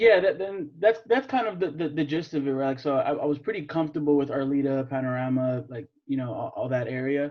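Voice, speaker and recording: With a Californian accent, a man speaks at a fairly quick pace. His pitch is fairly high, with ordinary variation. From US West Coast (San Fernando Valley, Los Angeles). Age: 20s. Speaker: young real estate investor. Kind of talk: casual interview chat.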